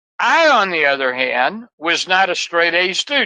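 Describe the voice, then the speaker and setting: A man's raised, projected voice, bright and sharp in tone, with very wide pitch swings. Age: 70s. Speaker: business mentor. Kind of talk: podcast interview.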